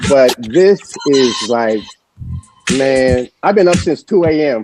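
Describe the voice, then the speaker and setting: A man's very slow, lively-toned speech in a dry, close sound with no echo, with music in the background. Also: medium pitch for a man. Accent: American. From New York City, South Bronx. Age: 70s. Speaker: birthday guest on a morning show. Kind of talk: casual chat. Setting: hotel lounge, online stream.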